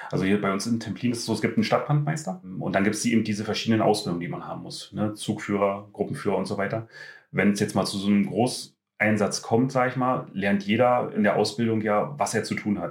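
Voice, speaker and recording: Very fast delivery from a man with fairly low pitch and ordinary pitch variation. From Brandenburg, near Schwedt. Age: 30s. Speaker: volunteer firefighter. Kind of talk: casual interview.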